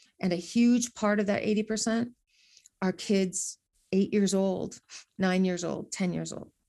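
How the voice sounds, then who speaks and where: A woman with a Midwestern American accent speaks at a medium pitch in a dark, mellow tone, monotone and flat, over a quiet background. Her pace is very slow, with long, frequent pauses. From northeast Iowa, small town. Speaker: educator and professional speaker. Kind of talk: casual interview.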